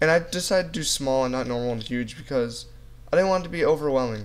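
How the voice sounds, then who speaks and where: You can hear a man talking. The variation in his pitch is ordinary. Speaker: gaming youtuber. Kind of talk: gameplay commentary. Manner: fast; casual.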